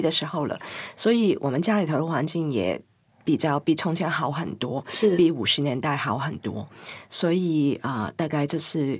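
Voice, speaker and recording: In a very clean recording with a silent background, a woman speaks at a moderate pace with very wide pitch swings. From Hong Kong. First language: Cantonese (speaking Chinese). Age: 50s. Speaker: writer and queer cultural scholar. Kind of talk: interview conversation.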